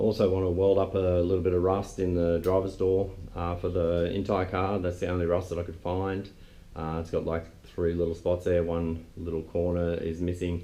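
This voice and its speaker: Audible room echo surrounds a man with a very deep, low pitch and a dark, mellow tone. He keeps a moderate pace with monotone, flat intonation. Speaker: car restorer, video host. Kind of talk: casual vlog.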